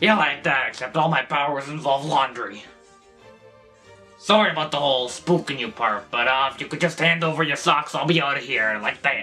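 A cartoonish character voice from a man, fairly high in pitch, at a moderate pace, over clear background noise and faint background music. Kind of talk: scripted character dialogue. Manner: casual, wheedling, exasperated. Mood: casual, apologetic.

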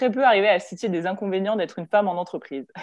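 A woman speaks over a quiet background. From France, Lyon; France. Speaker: engineer, strategic planning supervisor; panelist. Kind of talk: panel talk. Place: home room. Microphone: video call.

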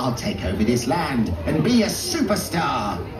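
Over loud background noise and a slight echo, a man performs a put-on character voice at a fairly slow pace. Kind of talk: comic pantomime villain. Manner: boastful, gloating, speaks in rhymes.

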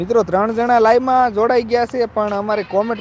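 This is a man's voice. His pitch sits high. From Gujarat, Saurashtra (near Chotila). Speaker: village vlogger and farmer. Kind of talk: live stream chat. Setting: outdoors in a farm field.

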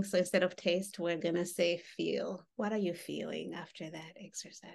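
The speaker is a woman at a moderate pace. The background is quiet. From Uganda (born in Rwanda). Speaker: mental health therapist leading a workshop; workshop facilitator. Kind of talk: interactive workshop with guided exercises. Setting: video call. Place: home room. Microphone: video call.

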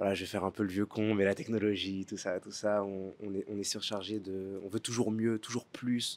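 A man speaks at a fairly low pitch and moderate pace. His intonation is monotone and flat, with hardly any pauses. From France, Paris suburbs; France. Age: 20s. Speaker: actor. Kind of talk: interview. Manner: halting, many fillers and repetitions. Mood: thoughtful, warm, sometimes smiling. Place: garden. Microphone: handheld.

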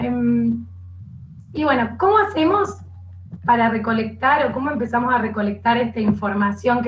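Light background noise sits under this woman's moderately paced speech. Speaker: program coordinator, psychopedagogue. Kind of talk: live online panel discussion. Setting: video call. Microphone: video call.

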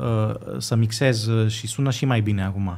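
A man talks fairly slowly, his pitch moving with ordinary variation. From Greece, Athens, Romanian parents; Greece. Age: 20s. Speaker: violinist and composer; guest. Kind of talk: casual interview. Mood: calm, reflective. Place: studio. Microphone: studio mic.

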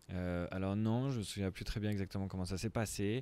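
A man talks at a moderate pace, and the sound is dry with no echo. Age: 20s. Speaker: startup founder. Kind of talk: interview. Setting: coworking space. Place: garden. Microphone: handheld.

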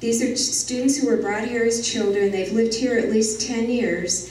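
An American accent with ordinary pitch variation, audible room echo and light background noise. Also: woman. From rural Arizona, near Prescott; Arizona. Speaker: journalist and author; journalist. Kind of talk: public talk. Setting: talk with audience, microphone. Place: hall.

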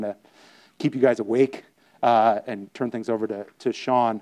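Against a quiet background, a man speaks with a dark, mellow tone. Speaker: physician and startup founder. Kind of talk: conference talk. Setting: stage with audience. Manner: hesitant, repeats words. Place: hall. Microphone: lapel.

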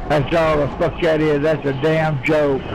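Over noticeable background noise, a man with a Southern US accent talks at a very slow pace in a fairly high pitch. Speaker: online game player. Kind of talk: casual in-game voice chat. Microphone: headset.

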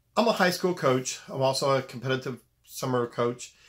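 A man with a fairly high pitch and ordinary pitch variation speaks at a moderate pace against a quiet background. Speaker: basketball coach; high school basketball coach. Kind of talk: video monologue; casual vlog advice talk. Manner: serious, direct tone; repetitive, halting. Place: home room. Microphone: phone near.

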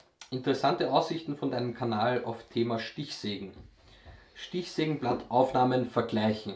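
Speaking with an Austrian accent, a man has a medium pitch, ordinary pitch variation and a somewhat breathy voice. He goes at a moderate pace, with audible room echo. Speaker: YouTube woodworking channel host. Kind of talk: casual Q&A chat. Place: workshop.

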